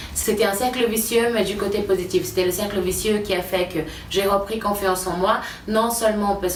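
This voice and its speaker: With a Portuguese accent, a woman speaks at a medium pitch and moderate pace in a monotone, flat intonation, amid noticeable background noise and audible room echo. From Brazil. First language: Portuguese (speaking French). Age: 20s. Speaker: YouTuber and nutrition coach. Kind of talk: personal vlog testimony. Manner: casual, hesitant with fillers.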